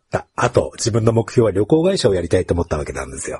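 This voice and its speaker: In a dry, close sound with no echo, a man with a dark, mellow tone and vocal fry talks fairly quickly, his pitch swinging very widely. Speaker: podcast host. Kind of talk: casual interview.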